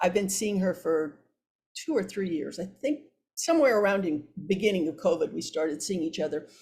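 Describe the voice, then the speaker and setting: Somewhat breathy and medium in pitch, a woman speaks with lively intonation and an American accent. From US Midwest (Iowa). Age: 70s. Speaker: psychotherapist. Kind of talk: podcast interview. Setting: podcast. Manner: halting, frequent repetitions.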